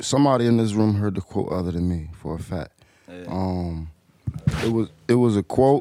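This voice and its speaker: Here is a plain, everyday voice with an American accent at a moderate pace. Pitch varies in an ordinary way, while the loudness swings widely. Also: man, fairly low pitch for a man. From Portsmouth, Virginia (from age 9; born Wilmington, Delaware). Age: 20s. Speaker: rapper. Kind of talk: casual chat.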